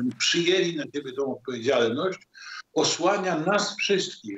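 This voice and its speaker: The speech moves at a fairly quick pace, and audible room echo surrounds it. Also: man. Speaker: political commentator. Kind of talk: political commentary. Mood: earnest, argumentative. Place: home room. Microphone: video call.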